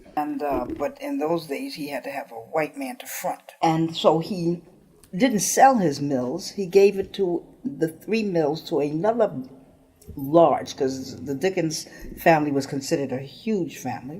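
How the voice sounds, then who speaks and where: A woman at a fairly slow pace, fairly low in pitch, with very wide pitch swings. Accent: American. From New York, Harlem. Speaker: politician. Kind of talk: oral history interview. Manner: halting.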